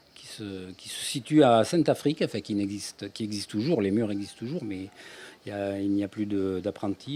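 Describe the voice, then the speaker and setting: A man with a fairly low pitch speaks at a moderate pace with ordinary pitch variation. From France, Ardèche. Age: 60s. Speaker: author, retired energy worker. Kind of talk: interview. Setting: radio. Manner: halting.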